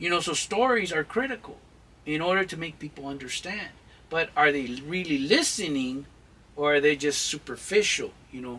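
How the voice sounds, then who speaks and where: A man's intense, fairly high voice at a moderate pace, with lively intonation and big swings in loudness. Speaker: channel host, mentor on Chicano culture. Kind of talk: advice-giving interview. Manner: intense, emphatic; halting with fillers.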